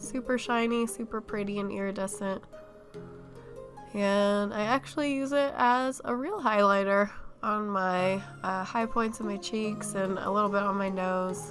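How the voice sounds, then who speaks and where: A woman speaks fairly slowly with music in the background. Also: medium pitch for a woman, ordinary pitch variation. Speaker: makeup YouTuber. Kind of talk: casual makeup tutorial voiceover.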